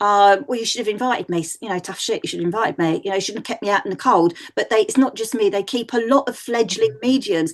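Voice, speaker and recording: A woman with a Mancunian accent speaks very fast at a fairly high pitch, her tone animated and her intonation lively. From northern England, Manchester. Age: 60s. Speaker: psychic medium. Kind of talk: podcast interview.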